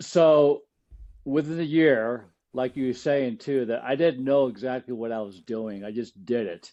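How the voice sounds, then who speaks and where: Ordinary pitch variation and a medium pitch in a man's plain, everyday voice. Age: 60s. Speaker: cancer survivor and author. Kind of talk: podcast interview.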